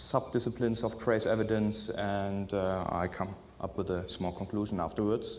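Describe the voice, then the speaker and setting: Audible room echo surrounds a man with a fairly low pitch. He talks at a moderate pace with fairly even intonation. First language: not English. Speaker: forensic scientist. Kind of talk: conference presentation. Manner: halting, many filler sounds.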